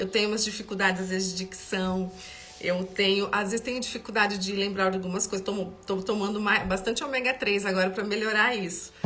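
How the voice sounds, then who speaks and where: A woman speaks in a monotone, flat way amid noticeable background noise and audible room echo. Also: medium pitch for a woman, fairly quick pace. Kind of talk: Bible study livestream. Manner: halting, with repetitions; warm and conversational.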